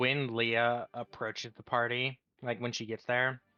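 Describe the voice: With only a quiet background behind it, the voice does plain reading aloud.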